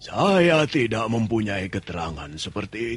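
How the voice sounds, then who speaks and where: Using a raspy, put-on character voice, a man at a medium pitch speaks at a moderate pace with very wide pitch swings. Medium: audio drama. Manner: calm, brief, wry.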